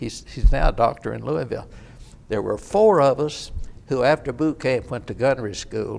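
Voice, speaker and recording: A man talks at a fairly quick pace with an American accent. Vocal fry runs through his voice. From Kentucky (Oldham County). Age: 80s+. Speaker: war veteran. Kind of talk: oral history interview.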